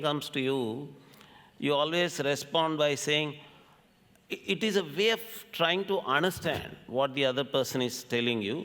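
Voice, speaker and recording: A man with a Telugu accent speaks at a fairly high pitch with lively intonation. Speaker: scholar, folklore lecturer. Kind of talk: lecture.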